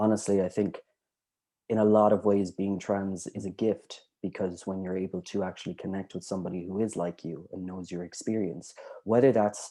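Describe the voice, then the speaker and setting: In an Irish accent, a man talks at a moderate pace with a dark, mellow tone and fairly even intonation. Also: fairly low pitch for a man. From Ireland. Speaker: writer. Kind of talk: casual chat. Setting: video call.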